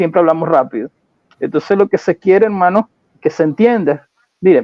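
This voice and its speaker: This man has a high-pitched voice with ordinary pitch variation. His loudness stays very even throughout. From Caribbean. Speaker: Bible teacher. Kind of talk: online Bible teaching livestream. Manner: fast.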